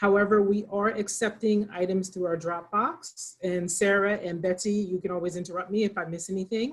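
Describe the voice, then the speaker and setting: A medium-pitched female voice, moderate in pace, with ordinary pitch variation. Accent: Pennsylvania. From Pennsylvania. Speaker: librarian, program moderator. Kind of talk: moderated author talk. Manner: informal, hesitant.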